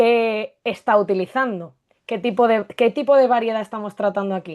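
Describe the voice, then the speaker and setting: Against a quiet background, the speaker uses a peninsular Spanish accent, a fairly slow pace and fairly even intonation. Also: woman. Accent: peninsular Spanish with distinción. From Spain (Barcelona, Castilian roots). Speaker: Spanish language teacher. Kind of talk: live discussion.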